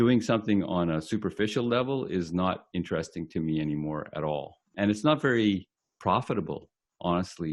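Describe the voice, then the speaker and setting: Against a quiet background, a man with a very deep, low pitch talks at a moderate pace. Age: 60s. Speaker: marketing business owner. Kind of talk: interview.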